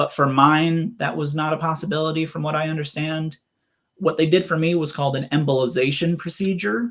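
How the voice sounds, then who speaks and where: In a normal speaking voice, a man talks at a fairly quick pace and fairly high pitch with ordinary pitch variation. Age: 20s. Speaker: AVM survivor. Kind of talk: interview.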